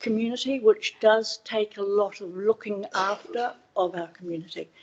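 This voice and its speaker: Speaking at a fairly slow pace with a New Zealand accent, a woman keeps a medium pitch and ordinary pitch variation. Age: 60s. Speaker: public submitter at council hearing. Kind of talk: public submission. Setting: council meeting room. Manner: slightly slurred speech from dental plates.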